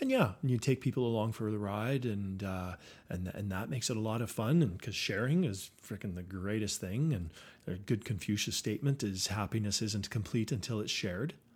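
A man with a Canadian accent and a plain, everyday voice talks fairly low and at a fairly quick pace on a very clean recording with a silent background. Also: ordinary pitch variation. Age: 50s. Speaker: company CEO. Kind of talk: interview.

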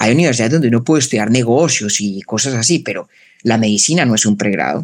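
A man talks with a Colombian paisa accent at a medium pitch. His intonation is lively. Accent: Colombian paisa-like, mountain. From Colombia, Bogotá. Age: 30s. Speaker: philosopher and podcaster. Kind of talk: interview conversation.

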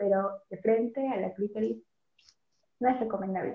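With music in the background, a woman speaks at a medium pitch in a monotone, flat intonation. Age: 20s. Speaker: psychology student, new co-host. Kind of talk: casual chat.

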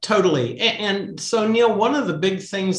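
A man's voice over noticeable background noise. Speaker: author. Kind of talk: casual interview.

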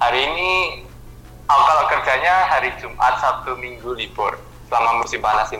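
With music in the background and audible room echo, a man talks at a fairly quick pace in a medium pitch with ordinary pitch variation. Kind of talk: casual interview. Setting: remote call.

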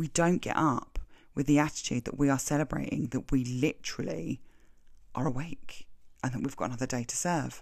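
A woman's very deep, low voice with vocal fry moves at a moderate pace, her pitch varying in an ordinary way. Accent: English. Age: 40s. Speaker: podcast host. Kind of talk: solo self-help monologue.

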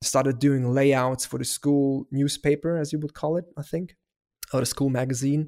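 This man has a fairly high, dark and mellow voice with a German accent, speaking in a flat monotone at a moderate pace. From Germany. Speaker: motion graphics designer. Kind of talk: casual interview chat.

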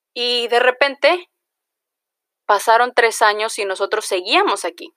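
A woman with a Mexican accent speaks at a fairly slow pace in a high pitch, her tone bright and sharp. The recording is very clean with a silent background, and the sound is dry and close with no echo. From Mexico, Jalisco. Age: 20s. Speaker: podcaster. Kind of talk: casual monologue.

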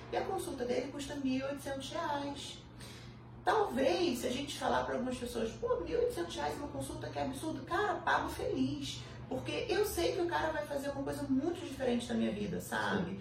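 A woman talks at a fairly quick pace. Background noise is noticeable and the room echo is audible. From Brazil, Petrópolis (Rio de Janeiro state). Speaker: physician. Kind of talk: interview.

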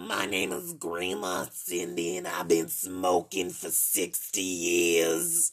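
Using a put-on character voice, a man speaks very slowly in a very deep, low pitch that sounds raspy. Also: hardly any pauses.

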